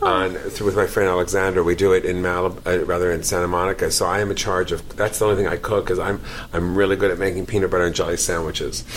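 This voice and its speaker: A man with a New York accent, very deep and low, very fast with hardly any pauses and very even loudness, over noticeable background noise. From New York, the Bronx. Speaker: actor and comedian. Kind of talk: casual chat. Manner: animated.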